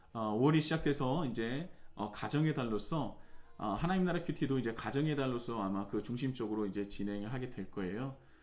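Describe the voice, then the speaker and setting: Against audible room echo, a man speaks quickly enough, at a medium pitch, with lively intonation. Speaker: pastor. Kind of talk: church announcements. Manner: fast; hesitant fillers.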